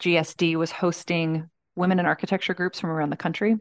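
An ordinary speaking voice with an American accent and fairly even intonation, over a quiet background. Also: woman. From Georgia, US South. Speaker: architect and design manager. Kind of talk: interview conversation.

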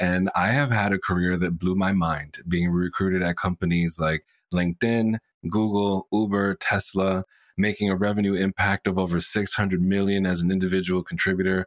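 Over a silent background in a very clean recording, a man with a very deep, low pitch speaks at a moderate pace in a monotone, flat intonation and very even loudness, the sound dry and close with no echo. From Puerto Rican American. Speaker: sales coach. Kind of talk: interview.

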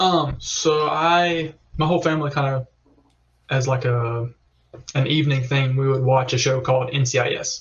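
Somewhat breathy and fairly high in pitch, a man speaks slowly, at a fairly slow pace, with a Southern US accent and fairly even intonation. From Alabama.

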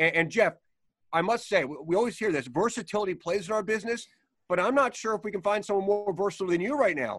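A man with a high pitch, lively intonation and a very fast pace. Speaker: podcast host. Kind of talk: casual sports interview.

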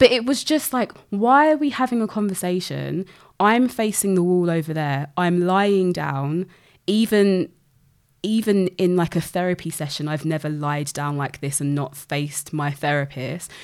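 A woman speaks at a moderate pace in a British accent, her pitch fairly low and her intonation lively. The recording is very clean, with a silent background. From UK, grew up in one city. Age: 30s. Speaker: health researcher. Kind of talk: casual interview conversation.

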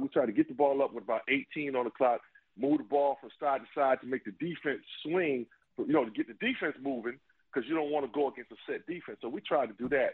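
The speaker has a normal speaking voice with an American accent. Pitch variation is ordinary, and the pace is fairly quick. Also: man. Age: 50s. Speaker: retired basketball player. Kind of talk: casual chat.

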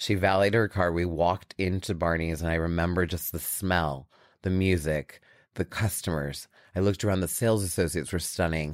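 With a very deep, low pitch, a man talks at a fairly quick pace on a very clean recording with a silent background. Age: 40s. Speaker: beauty brand founder and CEO. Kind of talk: interview. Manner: animated.

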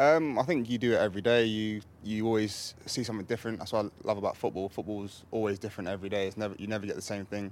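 Speaking in an English accent, a man goes at a very fast pace with hardly any pauses. His pitch is fairly low and his intonation fairly even. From England. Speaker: football goalkeeper. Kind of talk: casual interview. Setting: club training centre.

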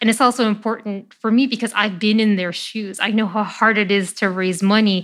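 Fairly quick and fairly even, a woman with an American accent speaks in an unremarkable speaking voice that sits fairly high. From Chicago, US Midwest. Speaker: biotech startup CEO. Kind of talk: interview conversation.

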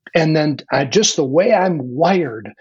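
A man talks fairly slowly with lively intonation and a fairly high pitch. His is an unremarkable speaking voice. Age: 60s. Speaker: leadership coach and author. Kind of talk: conversational interview.

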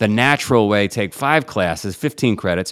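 In a very clean recording with a silent background, a man with a New York accent speaks with lively intonation. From New York City (Queens). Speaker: entrepreneur and endurance athlete. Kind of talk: interview.

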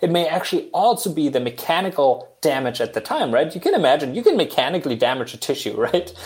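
With a German accent, a man talks at a very fast pace. He leaves hardly any pauses. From Germany. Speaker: engineering professor. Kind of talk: casual interview.

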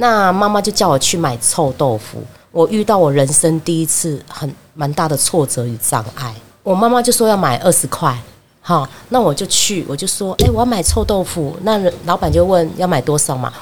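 Her fairly low voice has vocal fry and very wide pitch swings. The woman talks at a moderate pace. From Taiwan, Fengshan, Kaohsiung. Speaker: market vendor's daughter sharing childhood memories. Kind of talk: casual interview.

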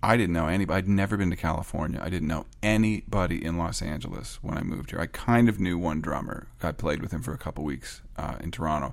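Talking at a very fast pace, a man with a very deep, low pitch shows ordinary pitch variation. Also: hardly any pauses. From Canada. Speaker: record producer and songwriter. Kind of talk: interview. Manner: halting.

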